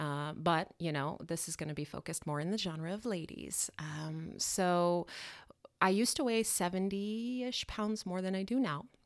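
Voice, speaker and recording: Here is an unremarkable speaking voice from a woman with an American accent, fairly low in pitch with ordinary pitch variation. She keeps a moderate pace on a very clean recording with a silent background. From Colorado. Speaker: portrait photographer and storm chaser. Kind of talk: casual interview. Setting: studio.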